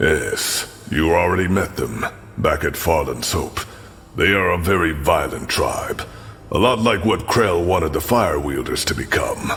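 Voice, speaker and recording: Over clear background noise, a put-on character voice moves at a moderate pace. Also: man. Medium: machinima. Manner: earnest, measured.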